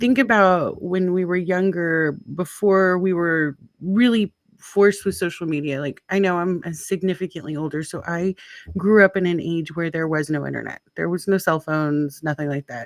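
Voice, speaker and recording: This woman has an unremarkable speaking voice at a fairly low pitch. She keeps a moderate pace with ordinary pitch variation. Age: 50s. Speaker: podcast host. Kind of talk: casual chat.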